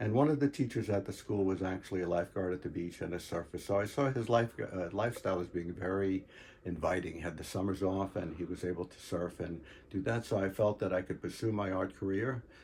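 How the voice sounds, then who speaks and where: Speaking at a very fast pace, a man with a very deep, low pitch sounds somewhat breathy, with ordinary pitch variation. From New York, Long Island (Queens, North Babylon). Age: 70s. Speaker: retired art teacher and artist. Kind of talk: personal reminiscence. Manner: halting, many fillers.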